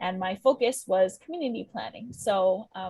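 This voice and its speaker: Delivered at a moderate pace, the voice is somewhat breathy, with a Hawaiian accent. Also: woman. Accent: Hawaii English. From Hawaii, windward Oahu. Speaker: community planner and meeting facilitator. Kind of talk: virtual community meeting introduction. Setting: Zoom video call.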